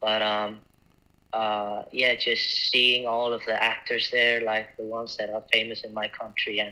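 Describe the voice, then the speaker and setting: A man with an Icelandic accent, at a fairly slow pace. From Iceland, small town. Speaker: actor and film festival judge. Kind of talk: interview. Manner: halting.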